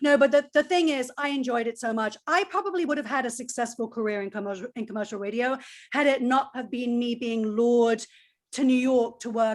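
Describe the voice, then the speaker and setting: Very fast, energetic speech on a very clean recording with a silent background. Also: woman. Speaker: former college radio DJ, music marketer. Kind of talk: panel discussion.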